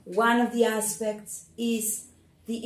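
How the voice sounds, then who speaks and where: There is audible room echo as a woman with a fairly high pitch speaks very slowly in a somewhat breathy voice. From Argentina. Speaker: church leader giving testimony. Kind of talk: testimony.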